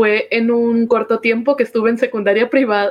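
A plain, everyday voice speaking at a moderate pace. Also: woman. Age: 20s. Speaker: cosplayer and streamer. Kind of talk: casual chat.

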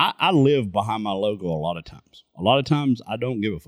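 An unremarkable speaking voice, a man's fairly low pitch comes at a fairly quick pace, with a dry, close sound and no echo. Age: 40s. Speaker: podcast co-host. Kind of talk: casual chat.

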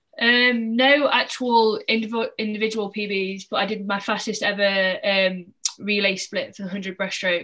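A woman's ordinary speaking voice, fairly high in pitch, with fairly even intonation at a fairly slow pace. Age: 20s. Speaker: professional swimmer. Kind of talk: casual chat.

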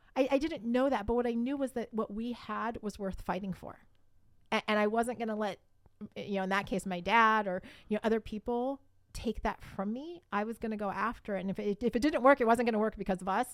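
With an unremarkable speaking voice, a woman talks at a fairly quick pace and fairly high pitch, using ordinary pitch variation. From Columbus, Ohio. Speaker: marriage podcaster. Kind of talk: casual interview.

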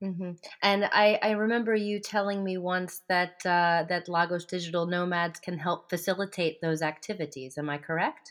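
A woman with a normal speaking voice talks at a fairly low pitch and a moderate pace, with hardly any pauses. Her intonation is fairly even on a very clean recording with a silent background. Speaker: podcast interviewer. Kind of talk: casual interview.

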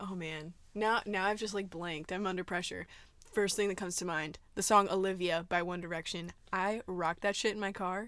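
A woman with an American accent has an ordinary speaking voice, medium pitch and fairly even intonation at a moderate pace. The recording is very clean, with a silent background. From Arizona. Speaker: podcast host. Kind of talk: casual chat. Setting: walk-in closet at a house.

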